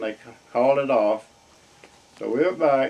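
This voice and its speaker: Fairly even intonation from a man with an American accent, at a fairly quick pace, over noticeable background noise. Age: 80s+. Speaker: war veteran. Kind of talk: interview answer.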